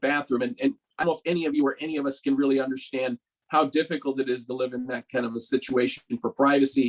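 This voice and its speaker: A man talks at a very fast pace, his pitch fairly high for a man. The intonation is fairly even, and the sound is dry and close with no echo. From Mexico, raised in Los Angeles. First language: Spanish. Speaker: doctor. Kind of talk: panel discussion.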